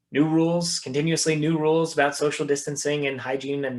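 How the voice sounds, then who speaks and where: A man is talking. His pace is fairly quick. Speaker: investment strategist presenter. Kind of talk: webinar presentation. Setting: video call. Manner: fast.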